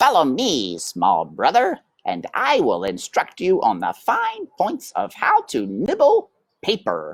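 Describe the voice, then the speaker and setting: A man adopts a put-on character voice and talks at a fairly slow pace. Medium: read story. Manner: bossy, condescending.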